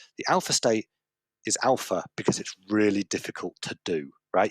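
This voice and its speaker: A man speaks with a fairly low pitch and lively intonation. The sound is dry and close, with no echo. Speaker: conference speaker. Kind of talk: conference talk. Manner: fast; animated.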